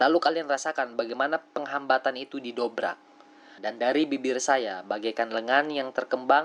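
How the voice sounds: The pitch of this natural reading voice varies in an ordinary way.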